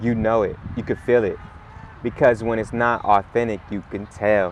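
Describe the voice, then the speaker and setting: A man speaks at a moderate pace and medium pitch with monotone, flat intonation, and there is noticeable background noise. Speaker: rapper. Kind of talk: casual chat.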